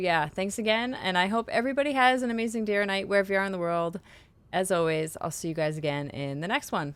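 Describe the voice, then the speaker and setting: The speech comes at a very fast pace with lively intonation. It is a very clean recording with a silent background. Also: woman, medium pitch for a woman. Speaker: gaming streamer. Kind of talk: gameplay commentary outro. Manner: casual with many fillers.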